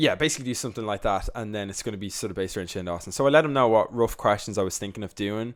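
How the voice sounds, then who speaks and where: In a very clean recording with a silent background, a man with a Dublin accent talks at a very fast pace in a fairly low voice with ordinary pitch variation. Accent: Dublin Irish. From Ireland, Dublin. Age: 20s. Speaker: youtuber. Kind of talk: podcast interview. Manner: animated.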